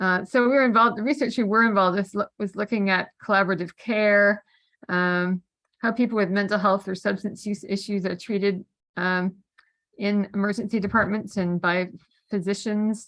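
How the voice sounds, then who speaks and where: A woman with a Canadian accent and a normal speaking voice, medium in pitch, fairly even in intonation, at a moderate pace. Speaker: mental health peer advocate. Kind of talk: panel discussion.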